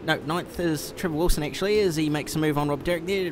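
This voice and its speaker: A man with a New Zealand accent speaks at a high pitch with fairly even intonation. Noticeable background noise runs behind him. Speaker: sim racing commentator. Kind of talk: live commentary. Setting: simulator store, live stream.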